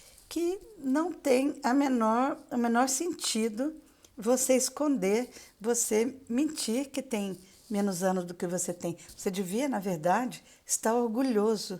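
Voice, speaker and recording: Very slowly, a woman speaks in a high pitch with a dark, mellow tone. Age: 60s. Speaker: retired teacher and author. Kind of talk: live stream talk. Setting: Instagram live. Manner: halting, many fillers.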